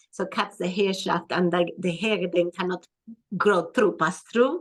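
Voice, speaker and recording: A woman talks at a moderate pace with a non-native accent. Her pitch is medium and her intonation fairly even. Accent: foreign. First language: not English. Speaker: skin and hormone health practitioner. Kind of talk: interview.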